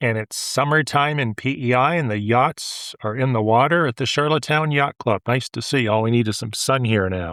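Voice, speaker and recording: A man with a Maritime Canadian accent, medium in pitch with ordinary pitch variation, at a moderate pace with hardly any pauses, on a very clean recording with a silent background and a dry, close sound with no echo. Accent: Canadian (Maritimes). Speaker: real estate agent and show host. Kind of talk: casual podcast chat. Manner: calm.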